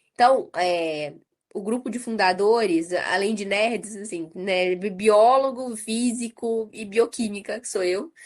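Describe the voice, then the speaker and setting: Speaking at a very slow pace against a quiet background, a woman with a fairly high pitch shows ordinary pitch variation and big swings in loudness. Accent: Minas Gerais. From Brazil, interior of Minas Gerais (Ubá). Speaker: nonprofit co-founder and director, biochemist. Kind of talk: podcast interview.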